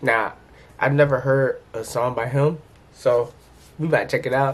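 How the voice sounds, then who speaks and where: Somewhat breathy and fairly high for a man, his voice moves at a moderate pace with ordinary pitch variation. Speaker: music reaction YouTuber. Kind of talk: casual reaction commentary. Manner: casual, animated.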